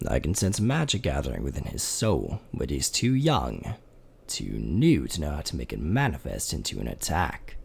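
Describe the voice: A man's guttural, put-on character voice, very deep and low in pitch, at a moderate pace.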